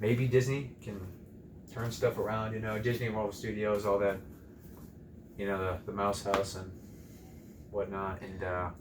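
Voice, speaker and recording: A man speaks in a fairly low pitch at a moderate pace, with monotone, flat intonation. His long, frequent pauses ring with audible room echo. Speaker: movie reviewer. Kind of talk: casual chat.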